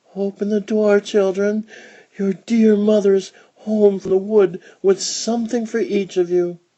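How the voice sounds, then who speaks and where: A put-on character voice with fairly high pitch at a fairly slow pace. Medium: read story. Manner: sly, wheedling.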